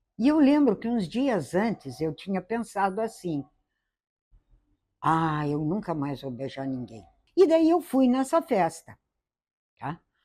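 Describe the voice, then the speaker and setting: A woman with a dark, mellow tone swings her pitch very widely in a very clean recording with a silent background. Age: old. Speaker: interviewee in documentary. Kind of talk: interview testimony.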